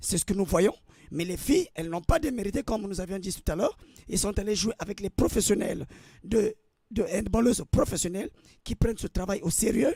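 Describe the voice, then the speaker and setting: A man's dark, mellow voice, high-pitched for a man, fairly quick yet with long, frequent pauses, ordinary pitch variation, dry and close with no echo. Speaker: football pundit. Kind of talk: radio sports talk.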